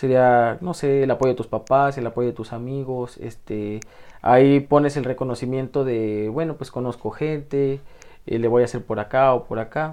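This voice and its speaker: A man's plain, everyday voice at medium pitch, moderate in pace, with fairly even intonation. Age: 20s. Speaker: youth life-planning coordinator, former psychology student. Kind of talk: radio interview.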